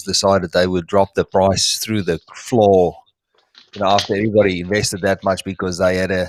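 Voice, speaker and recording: With a South African accent, a man speaks at a fairly quick pace. His voice is very deep and low, with fairly even intonation. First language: Afrikaans. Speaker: reptile breeder. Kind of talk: live stream chat. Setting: live stream. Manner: halting, searching for words.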